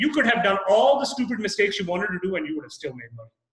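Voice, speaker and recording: A man's high voice at a very fast pace, with audible room echo. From Canada. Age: young. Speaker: real estate investor. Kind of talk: interview. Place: office. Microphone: video call.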